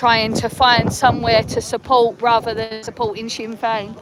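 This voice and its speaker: Speaking with an English accent, the voice holds a moderate pace and a monotone, flat intonation over noticeable background noise. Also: woman. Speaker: livestreamer at a protest march. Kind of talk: live street vlog. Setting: outdoors at a march. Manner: casual, rambling with fillers.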